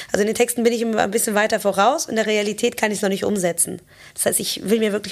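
A woman of medium pitch speaks at a very fast pace in an animated tone. Noticeable background noise is present. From Germany, Cologne. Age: 30s. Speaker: drummer, singer and multi-instrumentalist. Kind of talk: casual interview chat. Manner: lively, animated.

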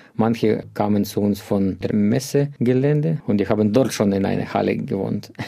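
Man's fairly low voice at a moderate pace, with hardly any pauses, ordinary pitch variation and very even loudness. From Ukraine. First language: Ukrainian or Russian (speaking German). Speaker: refugee shelter social worker. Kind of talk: interview.

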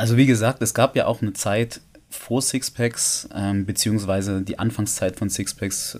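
At a moderate pace, a man speaks in a plain, everyday voice, fairly low in pitch with fairly even intonation. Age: 30s. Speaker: male stripper. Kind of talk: casual chat.

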